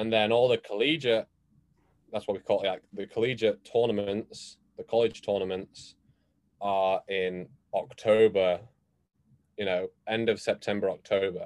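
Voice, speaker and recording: With an American accent, a man speaks at a moderate pace in a fairly low pitch with fairly even intonation and long, frequent pauses, in a dry, close sound with no echo. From England. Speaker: student athlete (skier). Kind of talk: casual interview chat. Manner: hesitant, many fillers.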